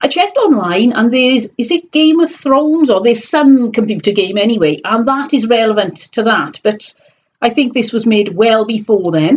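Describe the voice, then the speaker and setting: A woman with a South Wales accent speaks at a moderate pace and a fairly high pitch. Her intonation is lively and her loudness stays very even. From South Wales valleys. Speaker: online reseller vlogger. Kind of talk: casual live stream chat. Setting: live stream on computer webcam.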